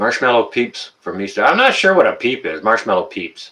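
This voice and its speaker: A man with a Canadian accent speaks at a moderate pace. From Canada, Ontario. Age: 50s. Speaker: livestream host, tradesman. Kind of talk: live chat stream. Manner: casual, halting with fillers.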